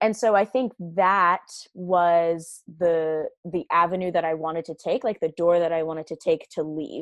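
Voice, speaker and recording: A woman speaks at a moderate pace with an American accent and an ordinary speaking voice. Her pitch is fairly low and her intonation fairly even. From Virginia, US. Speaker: special educator and mother. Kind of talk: casual chat, personal testimony.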